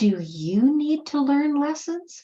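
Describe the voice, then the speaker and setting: Very slowly, a woman speaks in a somewhat breathy, dark, mellow tone with very wide pitch swings. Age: 70s. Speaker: motivational speaker. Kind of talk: motivational talk. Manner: animated.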